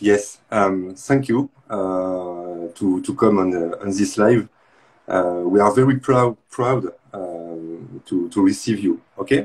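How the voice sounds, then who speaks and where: A man in a French accent, fairly low in pitch, at a very slow pace. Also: ordinary pitch variation. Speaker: live stream host. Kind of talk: interview. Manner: halting.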